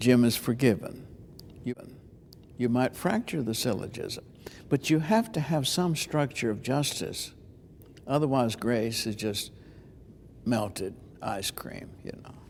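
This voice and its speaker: A man at medium pitch with ordinary pitch variation, a fairly slow pace and long, frequent pauses. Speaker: preacher and preaching teacher. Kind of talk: interview answer about preaching.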